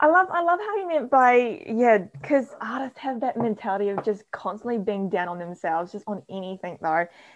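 A woman with a New Zealand accent speaks at a fairly high pitch with very wide pitch swings. She talks at a fairly quick pace with hardly any pauses. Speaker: podcast co-host. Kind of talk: casual chat. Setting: video call.

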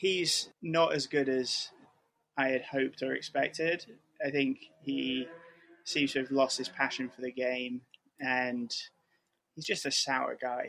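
Slowly and with long, frequent pauses, a man talks. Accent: northern English. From Manchester area, England. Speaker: football fan guest. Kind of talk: casual interview.

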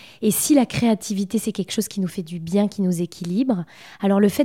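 The voice has a dark, mellow tone and ordinary pitch variation, captured in a very clean recording with a silent background and a dry, close sound with no echo. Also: woman. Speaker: feng shui expert and painter. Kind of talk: casual interview conversation. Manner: hesitant, many filler words.

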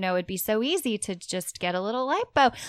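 A woman with a plain, everyday voice, medium pitch and lively intonation, in a very clean recording with a silent background. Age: 30s. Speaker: podcast co-host. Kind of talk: casual chat.

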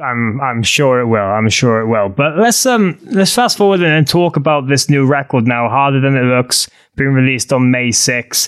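An ordinary speaking voice moves at a moderate pace with hardly any pauses, very even loudness and ordinary pitch variation, in a very clean recording with a silent background. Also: man, medium pitch for a man. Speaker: podcast co-host. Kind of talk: casual podcast interview. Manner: joking, playful.

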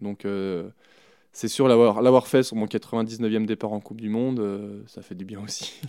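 A man speaks at a very slow pace with a fairly low pitch and a dark, mellow tone. His intonation is monotone and flat, while his loudness swings widely. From France, Chamonix (Haute-Savoie). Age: 30s. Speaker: alpine ski racer. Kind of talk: interview. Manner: hesitant, many fillers.

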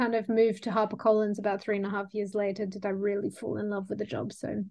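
A woman speaks in an Australian accent over a quiet background. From Sydney, Australia. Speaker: book cover designer. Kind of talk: casual chat.

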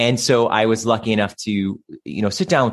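An ordinary speaking voice with an American accent, fairly even intonation and a fairly quick pace, over a quiet background. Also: man. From Cleveland, Ohio, US Midwest. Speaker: stage actor and singer. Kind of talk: casual interview chat.

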